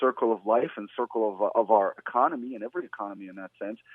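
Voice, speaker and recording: A man talking at a very fast pace. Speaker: real estate investor and radio host. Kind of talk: talk radio monologue.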